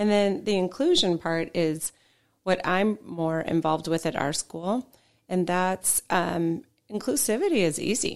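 A woman uses a normal speaking voice at a fairly slow pace. Her medium pitch shows ordinary variation, and her loudness stays very even. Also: very clean recording, silent background. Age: 50s. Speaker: parent and school board member. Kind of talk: casual chat.

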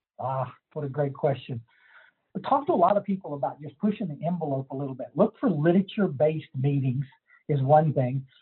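A man's fairly high voice with an American accent, fairly quick, with big swings in loudness. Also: ordinary pitch variation. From Texas Hill Country. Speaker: recovery counselor and sponsor. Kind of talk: casual interview.

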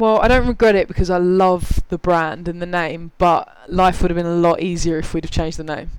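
A man with a British accent, high-pitched for a man, talking at a fairly quick pace with hardly any pauses. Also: fairly even intonation. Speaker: app co-founder. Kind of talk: casual interview. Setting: live recording with audience.

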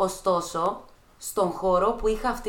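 A woman with an ordinary speaking voice, at a fairly slow pace. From Greece, Thessaloniki. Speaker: dancer and choreographer. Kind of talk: casual chat.

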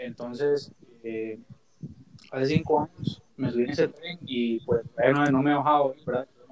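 With long, frequent pauses, a man talks at a fairly slow pace with a fairly high pitch and fairly even intonation. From Costa Rica. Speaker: youth group member. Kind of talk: casual chat. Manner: halting.

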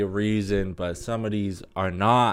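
A man's fairly low voice comes through a very clean recording with a silent background. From Alberta, Canada. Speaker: podcast host. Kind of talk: casual monologue. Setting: alone in a room. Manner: rambling, halting.

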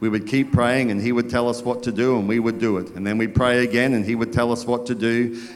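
Natural reading voice, nothing more

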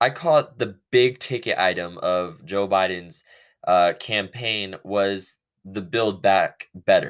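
A man with an American accent at a very slow pace, his pitch swinging very widely, on a very clean recording against a silent background. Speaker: political podcast host. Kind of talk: angry political rant, opinionated monologue. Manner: impassioned, forceful, indignant; halting, self-correcting, stumbles over words.

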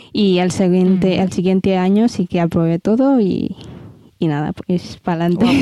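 A woman talks at a moderate pace and medium pitch, with ordinary pitch variation and very even loudness. It is a plain, everyday voice. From Ethiopia. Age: 20s. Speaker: model. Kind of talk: interview.

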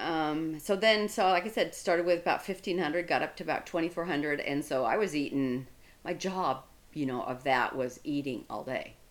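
A plain, everyday voice from a woman, fairly low in pitch, with lively intonation at a moderate pace. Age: 60s. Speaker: amateur bodybuilder. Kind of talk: casual chat.

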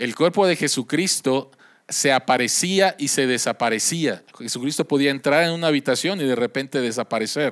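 This man has a normal speaking voice, fairly high in pitch with ordinary variation, at a moderate pace. The recording is very clean with a silent background and sounds dry and close, with no echo. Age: 50s. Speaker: pastor. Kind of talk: sermon.

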